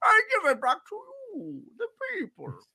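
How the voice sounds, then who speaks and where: In a high, put-on character voice, the speaker talks at a moderate pace. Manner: theatrical, announcing.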